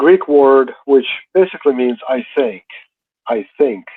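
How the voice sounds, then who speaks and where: Very slowly, a man speaks with a slight Russian accent and very wide pitch swings. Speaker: Orthodox priest. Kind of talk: interview. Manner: halting.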